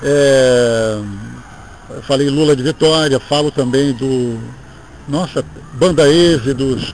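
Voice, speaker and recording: A man talks in a fairly high pitch with noticeable background noise behind him. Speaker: radio announcer. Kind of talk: interview, reminiscing. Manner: halting, repeats words.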